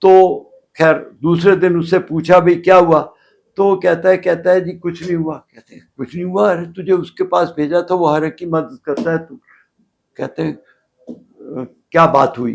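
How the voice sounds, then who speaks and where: Big swings in loudness mark this man's high-pitched voice, though his intonation stays fairly even. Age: 80s+. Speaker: elderly golfer interviewee. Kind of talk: interview storytelling. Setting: studio.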